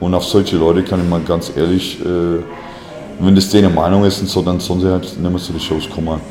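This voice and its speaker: A man's very deep, low voice at a fairly quick pace, monotone and flat, amid noticeable background noise and audible room echo. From USA. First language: English (speaking German). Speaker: musician, band frontman. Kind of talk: interview. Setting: hair salon.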